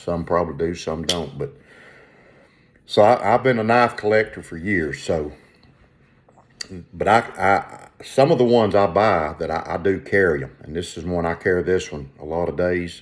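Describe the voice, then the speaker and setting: With a Southern US accent, a man with a very deep, low voice speaks at a moderate pace, taking long, frequent pauses. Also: ordinary pitch variation. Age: 60s. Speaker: leathercraft and collecting vlogger. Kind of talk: casual show-and-tell vlog. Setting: at home, windows open. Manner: halting, many repetitions and fillers.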